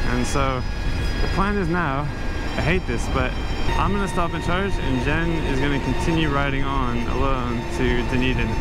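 Long, frequent pauses break up the speech. The sound is dry with no echo, and loud background noise fills the clip. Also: moderate pace. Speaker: motorcycle travel vlogger. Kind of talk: casual vlog chat. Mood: frustrated, fed up. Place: motorbike.

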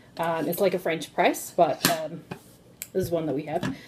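A woman's voice with fairly even intonation over noticeable background noise. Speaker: tea seller host. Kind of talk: casual tutorial chat. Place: kitchen. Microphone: phone near.

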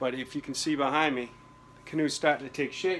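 A man speaks at a fairly quick pace with a medium pitch, a fairly bright tone and fairly even intonation.

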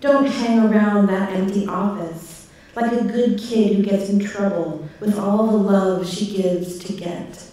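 A woman at a medium pitch with ordinary pitch variation, fairly slow in pace, amid strong room echo. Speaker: poet. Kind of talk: poetry reading of a prayer, contemplative spoken word. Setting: stage with audience. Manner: measured, meditative, reflective. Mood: contemplative, measured. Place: stage. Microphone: podium.

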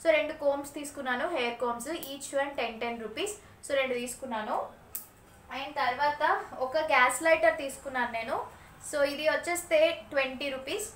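Audible room echo surrounds a woman speaking at a high pitch with ordinary pitch variation. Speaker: vlogger and mother; vlogger. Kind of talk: casual vlog narration. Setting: at home. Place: home room. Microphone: phone near.

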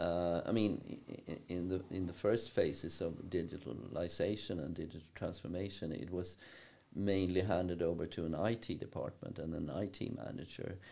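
A man's very deep, low voice carries a dark, mellow tone. He keeps a moderate pace with ordinary pitch variation. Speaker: university professor, podcast guest. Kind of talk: interview answer. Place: meeting room. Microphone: studio mic.

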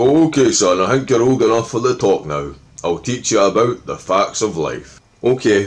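A man speaks at a moderate pace. There is vocal fry in his voice. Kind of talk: comedy sketch dialogue in Scottish slang. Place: home room. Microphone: phone near.

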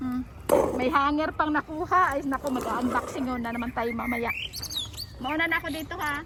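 Noticeable noise sits in the background. The talking goes at a fairly quick speed. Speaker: vlogger. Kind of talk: casual chat. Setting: outdoors.

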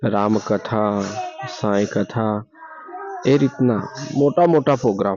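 Noticeable background noise is present. Over it, a man talks with ordinary pitch variation. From Gujarat, India. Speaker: video blogger. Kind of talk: vlog tour narration. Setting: outdoors at village temple at night. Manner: halting.

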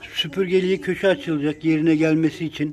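A man talks fairly quickly with a fairly high pitch and fairly even intonation. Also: slightly mellow tone.

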